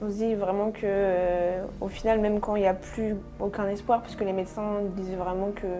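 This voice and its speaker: Music plays in the background and the room echo is audible. A woman of medium pitch speaks at a moderate pace in a monotone, flat intonation. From Normandy, France (rural, near Caen). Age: 20s. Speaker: osteopath, interview guest. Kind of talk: testimony interview. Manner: hesitant, many fillers.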